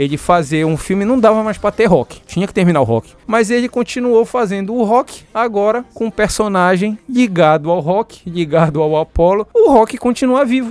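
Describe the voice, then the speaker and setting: At a moderate pace, a man speaks with lively intonation, and the sound is dry and close with no echo. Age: 40s. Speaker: father of the host, film fan. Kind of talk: casual chat. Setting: studio. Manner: halting.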